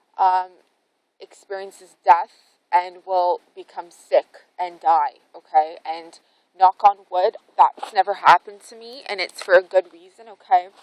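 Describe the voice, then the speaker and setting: A woman speaks at a fairly slow pace with medium pitch and fairly even intonation. Her loudness swings widely. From Canada. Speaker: spiritual vlogger. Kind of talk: casual vlog monologue. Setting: outdoors in a forest. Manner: rambling, hesitant with fillers.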